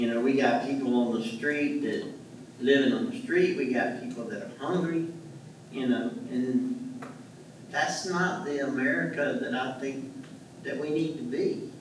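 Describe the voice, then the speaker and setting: With lively intonation and a fairly high pitch, a man speaks fairly slowly with long, frequent pauses, amid noticeable background noise and audible room echo. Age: 70s. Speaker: self-taught artist and veteran. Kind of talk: panel discussion. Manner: halting, many repetitions.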